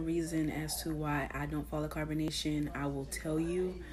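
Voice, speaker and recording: A woman's fairly quick speech with hardly any pauses, in audible room echo. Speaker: vlogger. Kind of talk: casual monologue. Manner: quiet, keeping voice down; halting, many fillers.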